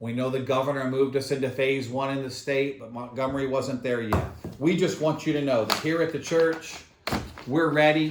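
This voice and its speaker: A fairly high-pitched man's voice with fairly even intonation, amid audible room echo and noticeable background noise. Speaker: pastor. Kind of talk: church video announcements. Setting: filmed on camera at church. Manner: fast.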